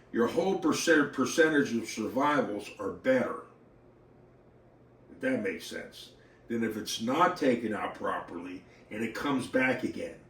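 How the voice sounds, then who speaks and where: Amid noticeable background noise and audible room echo, a man with a fairly high pitch and lively intonation speaks at a moderate pace, with big swings in loudness and long, frequent pauses. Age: 60s. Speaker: model car racing hobbyist. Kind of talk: casual vlog talk. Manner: halting.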